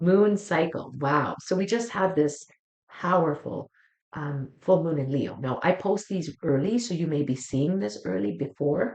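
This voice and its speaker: Lively intonation and vocal fry mark this warm, soothing voice, which moves at a fairly slow pace. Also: woman. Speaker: psychic tarot reader. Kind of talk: weekly astrology tarot reading.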